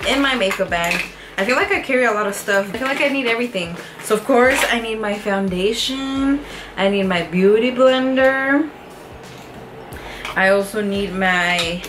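With noticeable background noise, a woman speaks with ordinary pitch variation and long, frequent pauses. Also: moderate pace. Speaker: fitness vlogger. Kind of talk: casual vlog chat. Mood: cheerful, chatty. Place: home room. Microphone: camera far.

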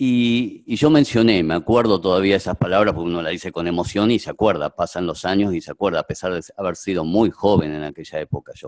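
Against a quiet background, a man with a very deep, low voice and a Rioplatense accent talks at a very fast pace with hardly any pauses and ordinary pitch variation. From Argentina. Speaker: doctor, moderator; moderator. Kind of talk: moderating a video conference. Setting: video call. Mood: warm, reminiscing. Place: hall. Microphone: podium.

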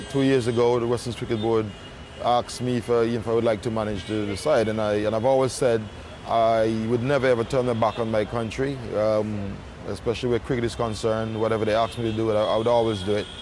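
The speech comes at a very fast pace in a monotone, flat intonation. The sound is dry with no echo, with light background noise. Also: man. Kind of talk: interview answer. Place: waterside.

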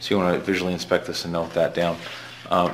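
A man's voice sits very deep and low while light noise runs behind it. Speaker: shop teacher. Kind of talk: tutorial. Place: workshop. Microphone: camera far.

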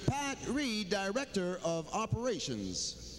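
Noticeable background noise sits behind the recording. The man talks at a high pitch. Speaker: arena PA announcer. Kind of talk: PA announcements, bilingual English-French. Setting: PA system in arena. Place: stadium.

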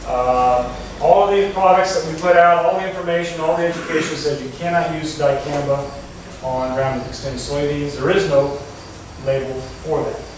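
A man at a moderate pace with ordinary pitch variation, strong room echo, and light background noise. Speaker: presenter. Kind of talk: presentation to farmers. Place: hall. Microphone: camera far.

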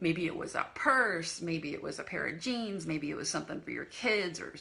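A woman's voice at a moderate pace, with very wide pitch swings. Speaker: decluttering coach. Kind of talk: casual vlog chat. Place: home room. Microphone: phone near.

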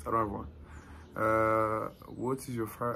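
There is music in the background as a man speaks. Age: 20s. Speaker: YouTuber. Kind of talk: casual chat. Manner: animated. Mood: relaxed, playful. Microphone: phone near.

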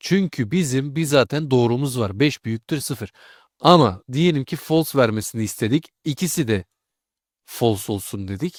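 A man's plain, everyday voice at medium pitch, fairly slow with lively intonation, dry and close with no echo, in a very clean recording over a silent background. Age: 20s. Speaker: programming tutor. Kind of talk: tutorial. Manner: casual.

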